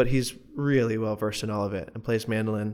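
On a very clean recording with a silent background, a man talks at a fairly quick pace with an American accent. His pitch is fairly low and his pitch variation ordinary. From US South, Morganton, North Carolina mountains. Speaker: musician. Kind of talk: casual chat. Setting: studio.

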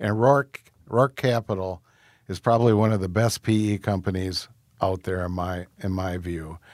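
With a plain, everyday voice, a man speaks at a fairly low pitch with ordinary pitch variation on a very clean recording with a silent background. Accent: American. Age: 60s. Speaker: restaurant founder and chairman. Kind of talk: interview.

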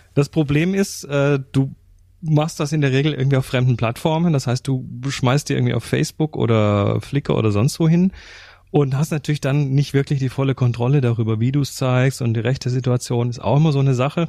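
A man speaks at a fairly quick pace with a medium pitch. His tone is dark and mellow. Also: ordinary pitch variation. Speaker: photography podcast co-host. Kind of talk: casual chat.

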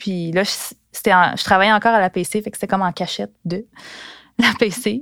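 On a very clean recording with a silent background and a dry, close sound with no echo, a woman speaks at a medium pitch and a moderate pace with fairly even intonation. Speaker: former sports journalist. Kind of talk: personal storytelling. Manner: casual, with hesitations.

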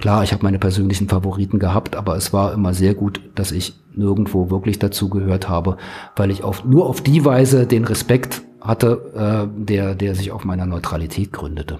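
A man at a moderate pace with hardly any pauses, amid noticeable background noise. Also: fairly low pitch for a man, ordinary pitch variation. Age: 60s. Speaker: journalist, former magazine editor. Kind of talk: interview. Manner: hesitant with fillers.

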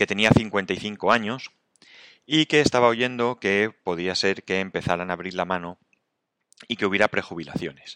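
Speaking at a fairly slow pace with long, frequent pauses, a man with a bright, sharp tone and ordinary pitch variation is heard in a dry, close recording with no echo and a quiet background. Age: 50s. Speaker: podcaster. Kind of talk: solo reflective monologue. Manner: halting.

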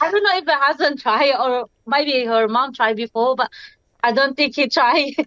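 In a Filipino accent, a woman speaks at a high pitch and a moderate pace, with ordinary pitch variation and very even loudness. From Philippines, Bicol. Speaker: interviewee, mother. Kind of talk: interview.

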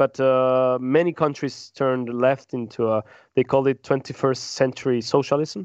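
A man with a Spanish accent speaks at medium pitch and a moderate pace. His intonation is monotone and flat, and the sound is dry and close with no echo. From Peru. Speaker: podcast panelist on world affairs. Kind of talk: casual roundtable discussion. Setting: in-person around a table. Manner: halting, many repeated words and false starts.

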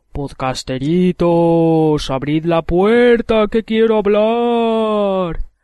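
Putting on a character voice, a man speaks high-pitched at a very slow pace with hardly any pauses. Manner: shouting.

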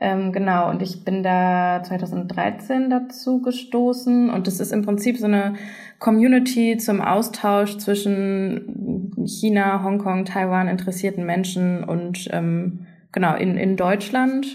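A woman's very slow, somewhat breathy voice of medium pitch and a dark, mellow tone, with audible room echo. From Germany. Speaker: journalist. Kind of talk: casual chat. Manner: hesitant, many fillers.

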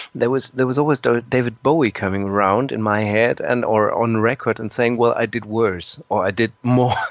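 Medium-pitched male voice with a German accent, fairly even intonation, a moderate pace and hardly any pauses. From Germany. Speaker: musician and composer. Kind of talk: interview. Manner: halting.

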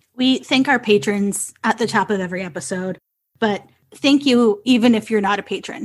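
Over a quiet background, a woman talks at a moderate pace in a normal speaking voice. Her pitch is medium. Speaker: podcast co-host. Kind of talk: casual chat.

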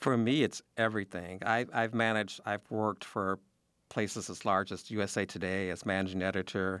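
With an American accent, a man talks at a moderate pace in a plain, everyday voice, fairly low in pitch with fairly even intonation, on a very clean recording with a silent background. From Chicago. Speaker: journalist. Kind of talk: radio interview.

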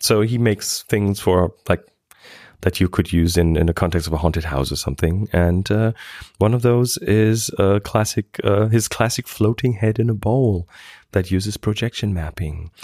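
In a very clean recording with a silent background, a dark, mellow voice moves at a moderate pace with ordinary pitch variation, very even loudness, and a dry, close sound with no echo. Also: man, fairly low pitch for a man. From Germany. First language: German. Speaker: podcast host. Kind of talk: casual chat. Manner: halting, filler-heavy.

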